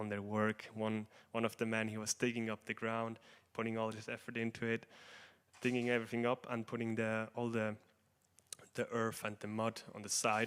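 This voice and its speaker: A man with a non-native accent and medium pitch speaks in a monotone, flat intonation at a moderate pace in a very clean recording with a silent background. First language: not English. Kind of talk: religious class talk. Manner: halting, many fillers.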